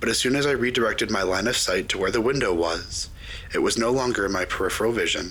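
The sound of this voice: Just an unforced reading voice.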